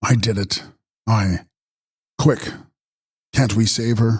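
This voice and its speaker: A man's put-on character voice, growling and raspy, at a medium pitch and a fairly slow pace. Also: fairly even intonation. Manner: snarling, harsh.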